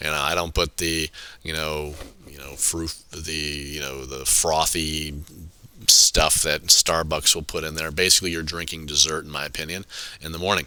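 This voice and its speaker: With a very deep, low pitch and a bright, sharp tone, a man talks at a moderate pace in a monotone, flat intonation, his loudness swinging widely. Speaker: high school chemistry teacher. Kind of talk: lecture. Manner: halting.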